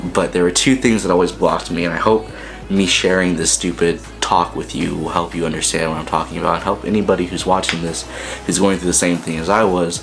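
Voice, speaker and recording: Over noticeable background noise and audible room echo, a man with a very deep, low pitch talks at a fairly quick pace with ordinary pitch variation. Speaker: filmmaker and vlogger. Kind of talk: casual vlog monologue. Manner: fast.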